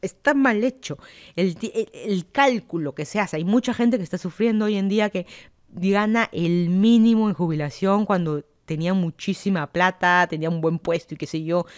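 Recorded very cleanly against a silent background, a woman with a Peruvian accent talks at a moderate pace, with medium pitch and ordinary pitch variation. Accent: Peruvian Spanish (Lima). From Lima, Peru. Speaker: podcaster. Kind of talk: casual solo monologue.

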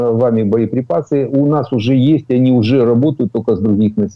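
A man speaks in an ordinary speaking voice. His pitch varies in an ordinary way. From Ukraine. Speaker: military expert, retired colonel. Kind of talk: news interview analysis.

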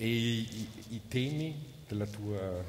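Light background noise sits behind the speaker. He is a man with a fairly low pitch. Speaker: event presenter and translator. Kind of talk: onstage interview. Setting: stage with audience. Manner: halting. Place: hall. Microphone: headset.

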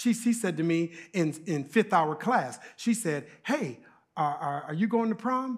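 A quiet background behind a man's voice. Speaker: preacher or guest speaker. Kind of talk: sermon. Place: church.

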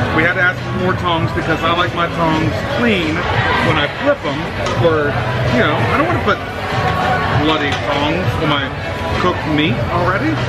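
A man speaks with ordinary pitch variation and long, frequent pauses. Loud music plays in the background. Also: moderate pace. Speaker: flight attendant vlogger. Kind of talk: casual vlog chat. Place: cafe. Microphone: phone near.

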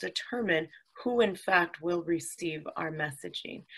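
Against a quiet background, a woman talks at a fairly low pitch with vocal fry. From California, Napa County; California. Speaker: county supervisor; guest. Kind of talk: interview.

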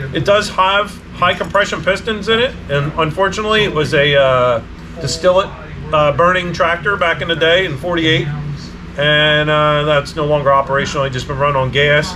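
Over noticeable background noise, a man talks at a moderate pace with ordinary pitch variation. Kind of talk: casual vlog chat. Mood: relaxed, matter-of-fact. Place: garage.

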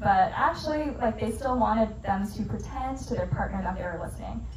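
A woman talks at a fairly quick speed while noticeable noise carries on behind her. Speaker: presenter. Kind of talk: lecture. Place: bar.

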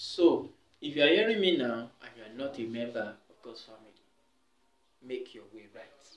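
Audible room echo and light background noise accompany a man talking at a moderate pace with big swings in loudness. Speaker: preacher giving testimony. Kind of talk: sermon-like exhortation. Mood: earnest, calm. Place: home room. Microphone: camera far.

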